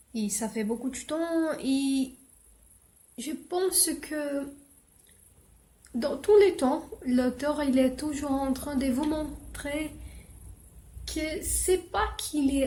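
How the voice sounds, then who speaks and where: The speech moves at a very slow pace with long, frequent pauses, a dark, mellow tone and ordinary pitch variation. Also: woman. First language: not French; English is her best language (speaking French). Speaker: book vlogger. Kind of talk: casual book review vlog. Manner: halting, many hesitations.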